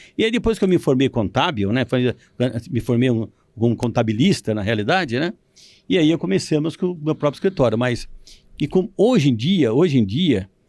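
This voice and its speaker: A man at a moderate pace with very wide pitch swings, in a very clean recording with a silent background. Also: medium pitch for a man. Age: 70s. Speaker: retired accountant and business owner. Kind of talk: interview. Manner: halting.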